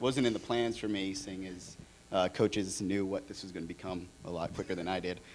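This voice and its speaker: In a Californian accent, a man talks at a moderate pace and a fairly low pitch, with ordinary pitch variation. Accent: Californian American. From Orange County, California. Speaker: designer. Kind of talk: conference panel talk.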